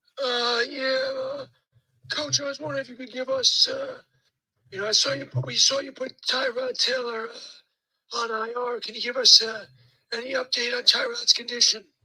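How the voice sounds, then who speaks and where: A put-on character voice, raspy and fairly high-pitched, goes at a moderate pace. Long, frequent pauses break it up. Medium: solo performance. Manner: hesitant, polite, filler words.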